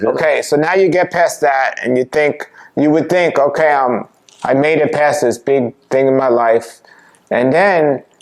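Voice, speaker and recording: This man, with an ordinary speaking voice, talks at a fairly slow pace and a fairly high pitch, his loudness very even and his pitch variation ordinary. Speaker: health show host. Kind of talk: interview questions.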